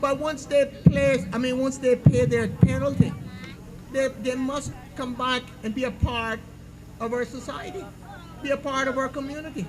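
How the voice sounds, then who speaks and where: With noticeable background noise behind him, a man of extremely high pitch talks at a moderate pace with fairly even intonation, big swings in loudness, and long, frequent pauses. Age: 60s. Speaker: political candidate. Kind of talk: campaign speech. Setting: public meeting with audience.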